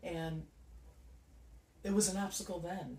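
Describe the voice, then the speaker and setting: Heard with audible room echo, a man with a Chicago accent speaks at a fairly slow pace. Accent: Chicago accent, noticeable. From Chicago, South Side. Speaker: nonprofit founder. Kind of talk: interview.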